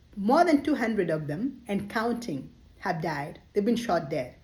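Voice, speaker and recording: Fairly high and somewhat breathy, a woman's voice moves through very wide pitch swings. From Kenya. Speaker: social commentator. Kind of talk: monologue commentary. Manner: impassioned.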